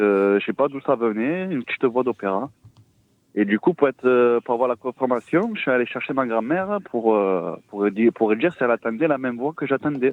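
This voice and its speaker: The speaker's intonation is lively. The pace is fairly quick. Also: man, medium pitch for a man. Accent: southern French. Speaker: caller. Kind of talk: testimony. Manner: halting.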